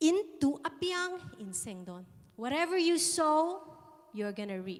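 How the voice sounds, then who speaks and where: Talking at a fairly slow pace, a woman with an extremely high pitch swings very widely up and down, and the room echo is audible. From England. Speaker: guest preacher. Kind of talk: sermon.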